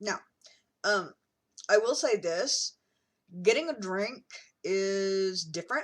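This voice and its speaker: A woman's medium-pitched voice at a very slow pace, broken by long, frequent pauses. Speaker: vlogger. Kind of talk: casual vlog talk. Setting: in a car. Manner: hesitant, many ums.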